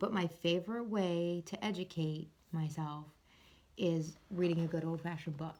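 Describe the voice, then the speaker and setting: A quiet woman's voice, fairly low in pitch, dark and mellow, in a monotone, flat intonation. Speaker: mental health vlogger. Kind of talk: casual vlog book review. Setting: at home upstairs, late night. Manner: quiet, hushed; halting with fillers.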